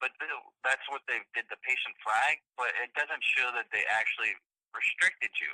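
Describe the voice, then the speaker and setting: Recorded dry and close with no echo, a man with an American accent speaks at a moderate pace. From US South. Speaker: VA hospital staff member. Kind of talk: phone call.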